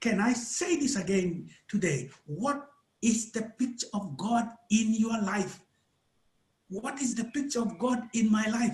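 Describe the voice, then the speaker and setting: The speaker has a Ugandan accent. The pace is fairly slow. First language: Acholi. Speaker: preacher. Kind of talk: sermon. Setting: church service.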